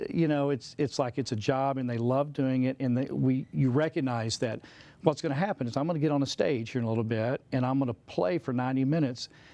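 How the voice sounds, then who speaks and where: Speaking very fast with hardly any pauses, a man with a Southern accent uses a dark, mellow tone at a medium pitch with ordinary pitch variation. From US South. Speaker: composer and musician. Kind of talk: casual interview chat.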